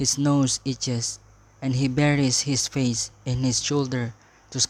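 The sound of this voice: The text is given in an unforced reading voice.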